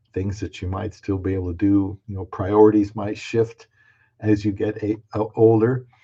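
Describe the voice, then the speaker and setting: A man speaks at a fairly low pitch and a moderate pace, with a dark, mellow tone. His voice is somewhat breathy against a quiet background. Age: 60s. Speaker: video creator on dating and marriage. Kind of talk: live stream talk. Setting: live stream. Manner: halting.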